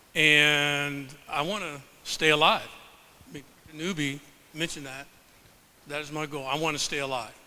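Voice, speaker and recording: Long, frequent pauses break up a man's speech at a moderate pace, with big swings in loudness and audible room echo. His fairly high pitch and bright, sharp tone hold fairly even intonation. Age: 70s. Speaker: professor and health researcher. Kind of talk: presentation to a live audience. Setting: stage with audience.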